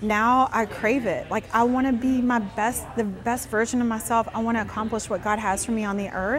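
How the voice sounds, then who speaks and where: Over noticeable background noise, a woman talks at a moderate pace with hardly any pauses, her fairly high voice monotone and flat. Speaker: nonprofit founder and business owner. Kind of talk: interview. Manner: loud.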